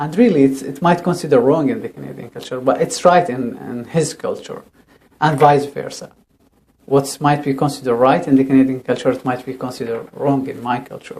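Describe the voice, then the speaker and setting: A man with a Syrian accent and a fairly high pitch. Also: ordinary pitch variation, fairly quick pace, big swings in loudness. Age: 30s. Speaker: refugee settlement counselor. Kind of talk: interview. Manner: halting, with repetitions.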